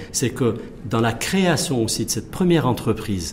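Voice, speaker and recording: Here a man speaks at a very fast pace with a medium pitch. Noticeable background noise runs underneath. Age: 40s. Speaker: engineer and business executive. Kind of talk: TV interview.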